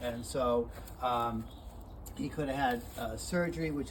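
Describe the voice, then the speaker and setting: Audible room echo around a male voice of ordinary pitch variation. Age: 60s. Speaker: animal rescuer. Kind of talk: casual talk to camera. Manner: halting, many fillers.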